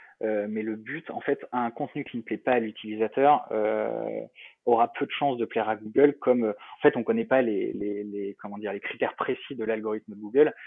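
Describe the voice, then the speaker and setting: His pitch is in the medium range. The man talks at a fairly quick pace. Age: 30s. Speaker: startup founder. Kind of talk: interview. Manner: halting.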